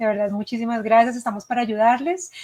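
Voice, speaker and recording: A woman with a Colombian accent, fairly high in pitch, with fairly even intonation. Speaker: education consultant. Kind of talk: webinar presentation. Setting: live online session.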